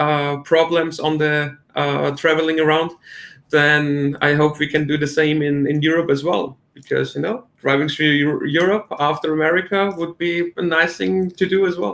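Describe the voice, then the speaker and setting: A man with a German accent speaks at a moderate pace in a fairly high pitch, his intonation fairly even. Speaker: crypto promoter. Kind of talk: casual chat. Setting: livestream. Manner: halting.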